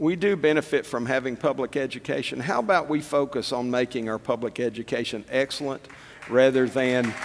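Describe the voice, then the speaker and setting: In an East Tennessee accent, a man speaks at a fairly quick pace. His pitch sits in the middle range with ordinary variation. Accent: East Tennessee Southern US. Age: old. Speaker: political candidate. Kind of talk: political forum speech. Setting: stage with audience.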